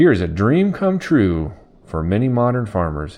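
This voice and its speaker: A man puts on a character voice. His pitch is fairly low. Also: moderate pace. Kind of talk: announcer, formal.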